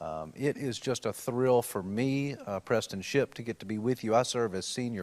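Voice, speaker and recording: A man speaks with a Tennessee accent at a moderate pace and ordinary pitch variation. The recording is very clean, with a silent background. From Tennessee, Nashville. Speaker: panel moderator, policy lawyer. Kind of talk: panel discussion introduction. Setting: university event, live streamed.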